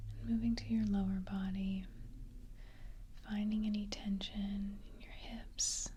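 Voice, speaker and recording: Soft-spoken words against noticeable background noise. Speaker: ASMR hypnotist (role play). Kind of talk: ASMR hypnosis role play, guided relaxation. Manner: soft-spoken, slow, quiet.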